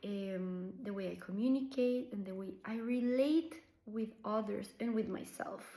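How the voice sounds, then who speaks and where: At a fairly slow pace, a woman with a Colombian accent speaks at a fairly high pitch, with audible room echo. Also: ordinary pitch variation. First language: Spanish. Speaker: somatic practitioner. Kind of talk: personal reflection to camera. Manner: unscripted, hesitant with fillers.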